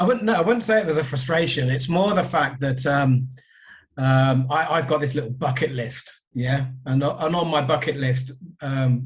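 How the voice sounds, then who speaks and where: A man speaks at a medium pitch and a moderate pace, sounding somewhat breathy. Audible room echo surrounds his voice. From southern England. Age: 50s. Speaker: record label owner. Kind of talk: podcast interview.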